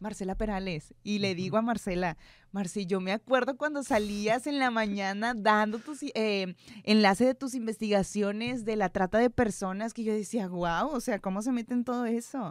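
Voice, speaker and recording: A woman's fairly high voice at a moderate pace, with ordinary pitch variation, on a very clean recording with a silent background. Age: 20s. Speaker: news producer and presenter. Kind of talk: casual interview. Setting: studio.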